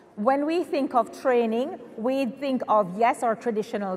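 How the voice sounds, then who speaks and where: A woman talks over noticeable background noise. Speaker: spa educator and business owner. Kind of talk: conference panel talk. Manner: loud.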